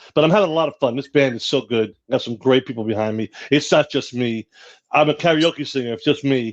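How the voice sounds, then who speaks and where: In an ordinary speaking voice, a man with medium pitch and ordinary pitch variation talks at a fairly quick pace, with a dry, close sound with no echo. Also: quiet background. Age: 60s. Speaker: singer in a rock band. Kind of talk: casual chat.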